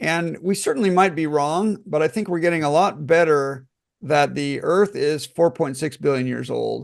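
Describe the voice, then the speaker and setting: A man speaks with an unremarkable speaking voice, fairly high-pitched for a man, with ordinary pitch variation at a moderate pace against a quiet background. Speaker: class teacher. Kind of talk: online class Q&A.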